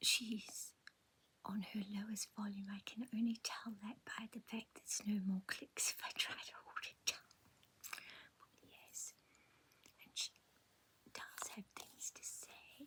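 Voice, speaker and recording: A woman's whisper in a gentle tone, very slow, with long, frequent pauses. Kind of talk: ASMR show and tell, relaxing toy review. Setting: home, close-mic ASMR. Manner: soft-spoken, gentle, slow.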